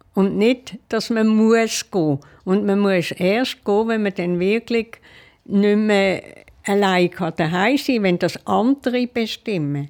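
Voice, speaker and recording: A woman of medium pitch speaks at a very slow pace with ordinary pitch variation. The recording is very clean, with a silent background. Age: 80s+. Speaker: retired airport hostess, care home resident. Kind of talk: interview. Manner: hesitant.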